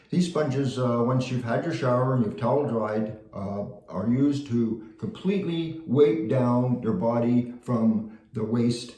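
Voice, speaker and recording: A man's medium-pitched voice at a fairly slow pace with ordinary pitch variation, plus noticeable background noise and audible room echo. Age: 70s. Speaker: vlogger sharing surgery experience. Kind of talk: casual video diary. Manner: halting with many fillers.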